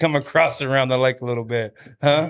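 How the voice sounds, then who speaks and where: A man with a Texan accent and a bright, sharp tone, at a moderate pace with ordinary pitch variation. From Texas. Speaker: podcast host, kitchen design business owner. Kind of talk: podcast interview.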